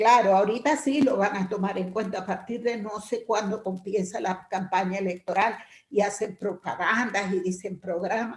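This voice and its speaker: Somewhat breathy, a woman speaks at a moderate pace with a medium pitch and fairly even intonation. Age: 60s. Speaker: workshop participant. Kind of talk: group discussion comment.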